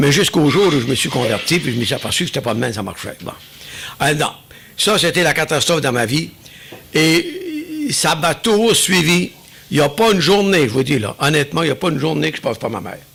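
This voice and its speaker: Over noticeable background noise, a man with an Acadian accent talks fairly quickly at a fairly high pitch with lively intonation. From New Brunswick, Acadia. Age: 70s. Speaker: churchgoer giving testimony. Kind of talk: testimony.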